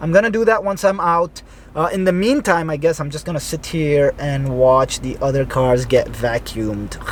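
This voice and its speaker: A man's fairly high voice at a moderate pace, lively in intonation, over noticeable background noise. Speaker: real estate investor and vlogger. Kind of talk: casual vlog narration. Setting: car wash waiting area.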